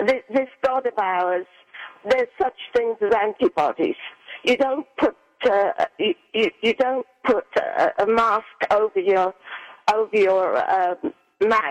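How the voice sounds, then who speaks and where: A woman with an American accent speaks at a very slow pace and fairly high pitch, with lively intonation, very even loudness, long, frequent pauses, and a dry, close sound with no echo. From England. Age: 80s+. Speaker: caller, widow. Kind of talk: call-in radio conversation. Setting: phone call. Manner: halting, repetitive.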